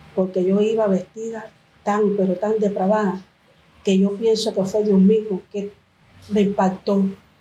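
In a dark, mellow tone that is somewhat breathy, a woman talks at a moderate pace with a medium pitch and a monotone, flat intonation. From Cuba. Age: 50s. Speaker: church member. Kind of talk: testimony. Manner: halting.

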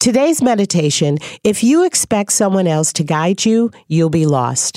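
With very wide pitch swings, a woman speaks at a moderate pace in a fairly low pitch. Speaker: acting coach and podcast host. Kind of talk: interview.

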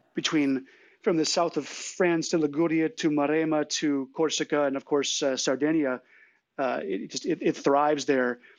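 An ordinary speaking voice: a man with a fairly high pitch and an American accent speaks at a moderate pace with ordinary pitch variation. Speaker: wine importer. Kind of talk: casual chat. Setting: online audio chat room.

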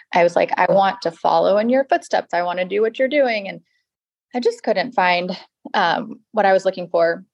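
In an American accent, a woman speaks at a moderate pace with ordinary pitch variation. It's a normal speaking voice, and the sound is dry and close with no echo. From US South, Georgia (Atlanta area). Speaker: house flipper. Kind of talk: interview.

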